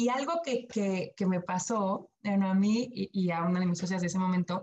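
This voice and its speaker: A woman's medium-pitched voice, somewhat breathy, moves with ordinary pitch variation. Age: 40s. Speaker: sustainability entrepreneur. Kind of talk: podcast interview.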